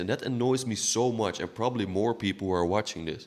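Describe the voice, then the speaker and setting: The recording is very clean, with a silent background. A man speaks with a non-native accent. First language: not English. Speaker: political commentator. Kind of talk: opinion monologue. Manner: halting, repeating words.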